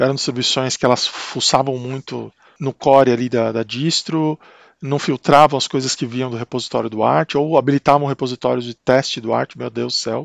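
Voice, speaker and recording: A man speaks in a Brazilian accent with fairly even intonation. The recording sounds dry and close, with no echo. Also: medium pitch for a man, moderate pace. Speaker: tech YouTuber. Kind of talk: tutorial. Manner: casual, hesitant with repetitions.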